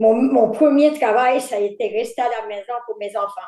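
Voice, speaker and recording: A woman's dark, mellow tone at a fairly slow pace, with ordinary pitch variation. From Quebec, Îles-de-la-Madeleine. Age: 70s. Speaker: fisherman's wife and retired factory worker. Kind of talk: life story interview. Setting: video call.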